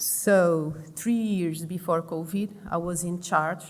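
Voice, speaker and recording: A woman with a Portuguese accent speaks in a fairly low pitch with fairly even intonation. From Portugal, Lisbon. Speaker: pulmonologist and intensive care doctor. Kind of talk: conference presentation. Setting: conference stage with audience. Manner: halting, many fillers.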